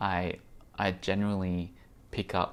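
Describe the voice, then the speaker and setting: A man with an American accent speaks in a very deep, low voice and a fairly even intonation. The recording is very clean, with a silent background. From Australia. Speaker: VR podcaster and vlogger. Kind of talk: vlog monologue. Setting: on location at a tech conference. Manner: halting, many fillers.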